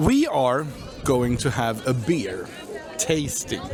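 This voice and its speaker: In a room with audible echo and music in the background, a man with a non-native accent speaks with lively intonation. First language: not English. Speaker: travel vlogger. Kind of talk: casual vlog commentary. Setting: outdoors. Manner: halting.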